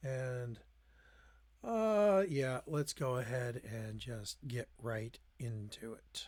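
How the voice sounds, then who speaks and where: This man speaks at a very slow pace with a medium pitch. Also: ordinary pitch variation. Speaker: gaming streamer. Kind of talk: live gameplay stream chat.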